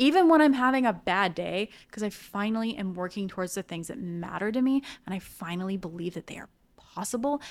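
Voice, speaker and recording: An ordinary speaking voice from a woman, fairly quick in pace with ordinary pitch variation, on a very clean recording with a silent background. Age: 30s. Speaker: writer and marketing specialist. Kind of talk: casual chat.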